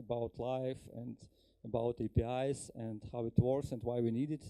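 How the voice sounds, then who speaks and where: Here a man talks with a Ukrainian accent. His tone is dark and mellow, and his pace is fairly slow. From Ukraine. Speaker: software engineer, conference speaker. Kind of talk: conference talk. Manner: halting, many fillers.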